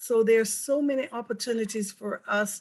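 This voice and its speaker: A woman speaks in a somewhat breathy voice with a Jamaican accent. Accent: Jamaican accent, deliberately kept. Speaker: mayor. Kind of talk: panel discussion.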